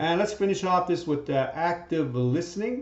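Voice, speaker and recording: The recording has audible room echo. A man talks at a moderate pace with very wide pitch swings. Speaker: teacher. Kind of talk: lecture.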